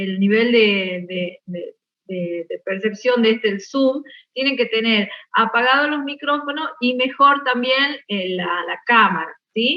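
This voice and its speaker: A woman speaks at a fairly slow pace. Her fairly high pitch shows ordinary variation. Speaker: botany teacher. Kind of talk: online class lecture. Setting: video call. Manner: slow, measured.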